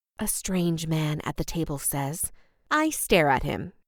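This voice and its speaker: A woman talks at a fairly slow pace. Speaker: audiobook narrator. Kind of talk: first-person fiction narration.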